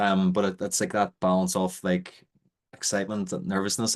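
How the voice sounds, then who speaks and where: Against a quiet background, a man with an Irish accent talks at a fairly quick pace in a fairly low pitch, his intonation flat and monotone. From Ireland. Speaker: webinar host. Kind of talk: live interview. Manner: fast.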